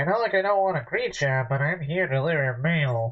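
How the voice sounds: A man's put-on character voice, fairly high and nasal, with lively intonation and a fairly quick pace.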